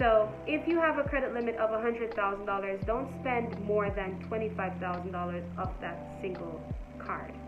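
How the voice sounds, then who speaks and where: Over music in the background, a woman speaks at a moderate pace. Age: 20s. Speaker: entrepreneur, finance content creator. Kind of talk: casual talk to camera. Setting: phone microphone, poor audio.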